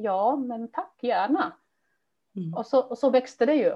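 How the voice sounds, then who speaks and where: Speaking with a non-native accent, a woman uses ordinary pitch variation. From immigrant to Sweden. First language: not Swedish (speaking Swedish). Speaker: language teacher and teacher trainer. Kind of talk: interview.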